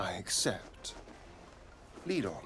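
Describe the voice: A man's put-on character voice, low-pitched with a bright, sharp tone, big pitch swings and a slow pace over faint background noise.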